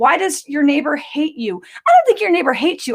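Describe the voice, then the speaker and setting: The speech comes at a very fast pace, animated in tone, with lively intonation. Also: woman. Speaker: psychic medium doing live readings. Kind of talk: live-stream psychic readings, rapid fire Q&A. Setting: live stream across several platforms.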